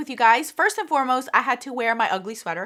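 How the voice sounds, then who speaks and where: A woman speaks in a raised, projected voice, high in pitch. Her tone is bright and sharp. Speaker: beauty vlogger. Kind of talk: product review vlog. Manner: trying not to be loud; casual, chatty.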